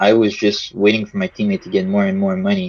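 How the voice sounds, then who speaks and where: A man with a Quebec accent, moderate pace and fairly even intonation, in a dry, close sound with no echo. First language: French. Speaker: video game player. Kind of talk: casual chat. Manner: halting.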